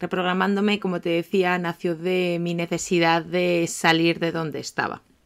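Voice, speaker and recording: Her fairly low voice stays in a flat monotone as the woman talks. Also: moderate pace. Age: 30s. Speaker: life coach and podcast host. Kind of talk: podcast monologue. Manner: talkative, chatty.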